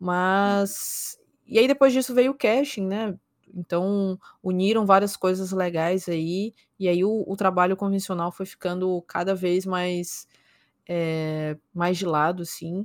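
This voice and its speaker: A woman speaks very slowly at a medium pitch with ordinary pitch variation. The recording is very clean and dry, close with no echo and a silent background. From São Luís, Maranhão, Brazil. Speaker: esports caster and streamer. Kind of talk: casual interview chat.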